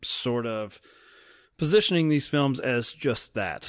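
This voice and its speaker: On a very clean recording with a silent background, a man with a slight Southern US accent speaks fairly slowly with lively intonation. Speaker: film podcast co-host. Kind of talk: casual chat.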